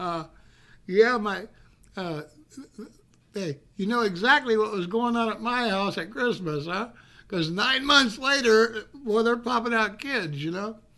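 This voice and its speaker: The speech moves at a fairly slow pace. Long, frequent pauses break it up. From California (born in North Carolina mountains, moved at age 7). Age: 60s. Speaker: live streamer telling personal stories. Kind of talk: casual storytelling. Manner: halting, many fillers and restarts.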